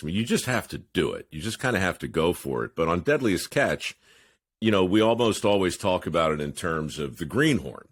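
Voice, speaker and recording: On a very clean recording with a silent background, a man with a very deep, low pitch and vocal fry swings very widely in pitch. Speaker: podcast host. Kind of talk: podcast interview.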